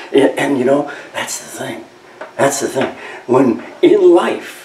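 Very slow speech from a man, with light background noise and audible room echo. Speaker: preacher. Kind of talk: sermon. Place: church.

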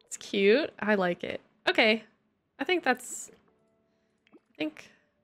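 Faint music plays behind a woman with an American accent who speaks very slowly at a fairly high pitch. Her pitch swings very widely and her loudness shifts a lot. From Texas, raised by Michigan parents. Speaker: gaming streamer. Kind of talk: casual live-stream chat. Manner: animated. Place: home room. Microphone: studio mic.

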